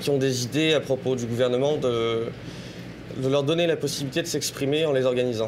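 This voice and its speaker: With a strong French accent, a man talks at a fairly quick pace in a medium pitch and fairly even intonation, with noticeable background noise behind him. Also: very even loudness. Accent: strong French accent (when speaking English). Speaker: political activist and prospective student. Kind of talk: interview.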